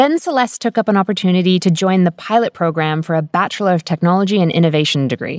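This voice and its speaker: A woman's medium-pitched voice with an Australian accent, very fast with hardly any pauses and ordinary pitch variation, in a very clean, dry, close recording with no echo and a silent background. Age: young. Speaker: podcast host, biomedical engineer. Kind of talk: scripted narration and interview.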